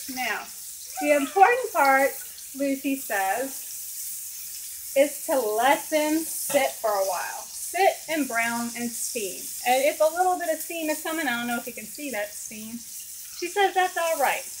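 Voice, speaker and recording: Over noticeable background noise, a woman with a Southern US accent speaks at a fairly slow pace in a high pitch, her intonation lively and her loudness swinging widely. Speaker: home cooking vlogger. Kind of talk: cooking tutorial. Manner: casual.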